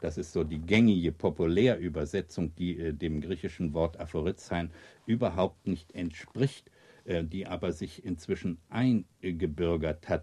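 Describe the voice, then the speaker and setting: A man speaks slowly, with a very deep, low pitch and ordinary pitch variation. His tone is dark and mellow, and somewhat breathy. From East Prussia, raised in Berlin. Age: 70s. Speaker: author and magazine editor. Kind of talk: interview with readings of aphorisms. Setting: recorded at his home. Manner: hesitant, many fillers.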